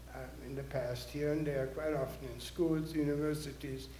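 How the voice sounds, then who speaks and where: A man's moderately paced speech carries audible room echo over noticeable background noise. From Austria (Vienna). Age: 80s+. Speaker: Holocaust survivor speaker. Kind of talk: audience Q&A.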